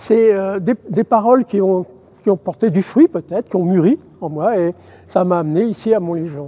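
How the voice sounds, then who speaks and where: This man's voice is pitched high. Its pitch varies an ordinary amount. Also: dry, close sound with no echo. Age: 70s. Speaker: retired teacher, volunteer basilica guide. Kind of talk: interview testimony. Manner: hesitant, many fillers.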